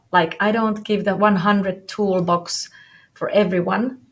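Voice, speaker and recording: Somewhat breathy and in a non-native accent, the voice comes at a fairly slow pace with monotone, flat intonation on a very clean recording with a silent background. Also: woman. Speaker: business coach. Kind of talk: interview. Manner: halting.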